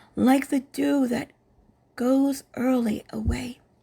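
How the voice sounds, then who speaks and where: A high female voice, dark and mellow in tone. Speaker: Bible reader. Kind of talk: scripture reading.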